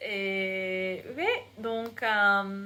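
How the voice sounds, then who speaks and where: A woman at medium pitch speaks with an American accent in a monotone, flat intonation. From United States. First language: English (speaking French). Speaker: English teacher and vlogger. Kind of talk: casual vlog. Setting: bedroom. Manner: halting, many hesitations.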